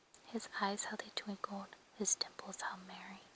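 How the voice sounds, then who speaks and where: A woman whispers in a gentle tone at a fairly slow pace, with noticeable background noise behind her. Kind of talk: whispered ASMR poetry reading. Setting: quiet indoor, page flips. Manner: whispered, soft, gentle.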